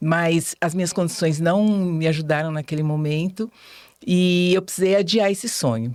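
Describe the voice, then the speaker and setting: This woman has a normal speaking voice with a fairly low pitch. She talks at a moderate pace with ordinary pitch variation. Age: 60s. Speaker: teacher and journalism student. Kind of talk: podcast interview. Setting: studio.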